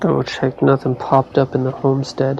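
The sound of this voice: Monotone, flat intonation with vocal fry and a slightly mellow tone. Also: man, medium pitch for a man, moderate pace.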